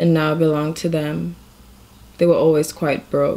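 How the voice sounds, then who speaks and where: A woman talks at a moderate pace. Her pitch is fairly low and her intonation fairly even. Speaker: reader of a short story. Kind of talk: reading aloud of fiction. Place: home room. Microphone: phone near.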